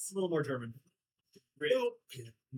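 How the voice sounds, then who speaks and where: Lively intonation from a man in an American accent. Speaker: podcast co-host. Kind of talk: casual chat over beers.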